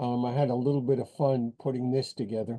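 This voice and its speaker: A man's dark, mellow tone at medium pitch. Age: 70s. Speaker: poet. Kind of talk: poetry reading. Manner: halting.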